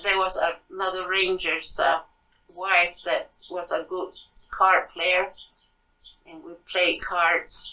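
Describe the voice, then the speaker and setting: Using long, frequent pauses, a woman speaks at a very slow pace in a bright, sharp tone with monotone, flat intonation. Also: medium pitch for a woman, big swings in loudness. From Santa Clara Pueblo, New Mexico. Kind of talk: interview answer. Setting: at her home.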